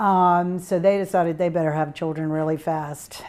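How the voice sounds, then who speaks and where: A woman with a Virginia accent, fairly low in pitch and dark, mellow in tone, monotone and flat at a fairly slow pace, on a very clean recording with a silent background. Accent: Virginia Southern. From US South, Tidewater Virginia. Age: 60s. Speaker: alumna interviewee. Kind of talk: oral history interview. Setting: interview room. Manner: hesitant with fillers.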